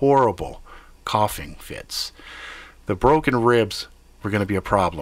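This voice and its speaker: Lively intonation across a man's medium-pitched speech. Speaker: storyteller livestream host. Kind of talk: live improvised horror storytelling, first-person narration with profanity. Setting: live stream to online viewers. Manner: tense, urgent, gasping, clipped breathless bursts; casual, joking, foul-mouthed.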